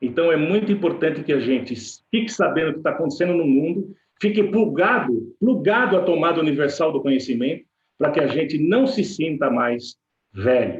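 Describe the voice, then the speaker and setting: With a plain, everyday voice, a man speaks at a moderate pace, his fairly high pitch carrying lively intonation. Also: very even loudness. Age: 60s. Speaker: workplace safety expert. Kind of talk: webinar presentation.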